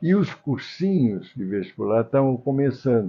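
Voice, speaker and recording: Speaking at a fairly slow pace, a man with a medium pitch moves through very wide pitch swings. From Brazil, Minas Gerais (Tombos). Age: 80s+. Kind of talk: interview.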